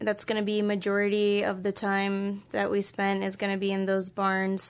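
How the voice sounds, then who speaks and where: A woman with an American accent speaks at a moderate pace and medium pitch in an unremarkable speaking voice, against a quiet background. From US East Coast. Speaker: zookeeper. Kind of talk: casual interview.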